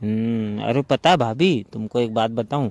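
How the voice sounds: Speaking at a fairly slow pace, a man has a medium pitch, ordinary pitch variation and a slightly mellow tone. The sound is dry and close, with no echo.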